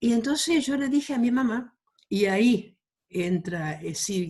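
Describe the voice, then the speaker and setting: Here a woman talks with lively intonation. Her voice is somewhat breathy. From Argentina, Chaco (rural Quitilipi). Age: 70s. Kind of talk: interview.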